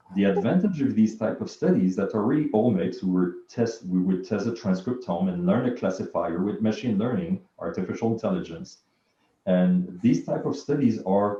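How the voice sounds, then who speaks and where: A man's dark, mellow voice at a moderate pace with lively intonation. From Quebec, Montreal. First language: French. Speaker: bioinformatics researcher and physician. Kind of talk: interview.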